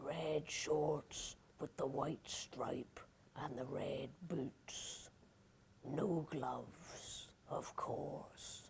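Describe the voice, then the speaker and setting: Whispering and growling in a put-on character voice, a woman speaks at a very slow pace over clear background noise. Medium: read story. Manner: slow, nasty.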